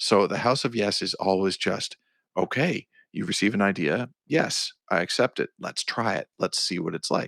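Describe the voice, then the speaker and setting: A man's normal speaking voice with a Canadian accent, fairly low in pitch with ordinary variation, at a moderate pace, in a very clean recording with a silent background and a dry, close sound with no echo. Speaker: songwriter and producer. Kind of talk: podcast interview.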